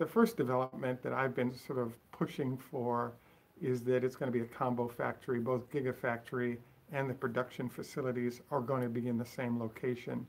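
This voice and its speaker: With a medium-pitched voice, this man talks fairly quickly in a monotone, flat delivery. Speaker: Tesla commentary channel host. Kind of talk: solo video commentary. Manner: mumbling; fast.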